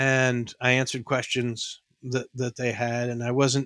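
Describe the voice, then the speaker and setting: The man's bright, sharp tone and medium pitch carry a New York accent, recorded with a dry, close sound and no echo. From New York, the Bronx. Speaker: former airline pilot and auto industry consultant. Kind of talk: casual interview.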